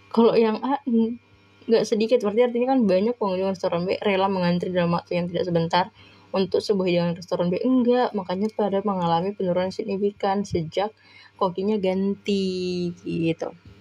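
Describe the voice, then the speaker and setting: Her medium-pitched voice moves at a fairly quick pace, and this woman keeps her intonation fairly even. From Medan, North Sumatra (Batak). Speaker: online test-prep tutor. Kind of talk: live-stream tutorial. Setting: live stream. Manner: casual, chatty.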